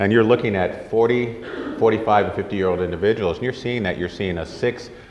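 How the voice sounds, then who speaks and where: A man's voice carries audible room echo. There is noticeable background noise as well. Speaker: orthopedic surgeon. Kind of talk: lecture. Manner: fast; soft-spoken.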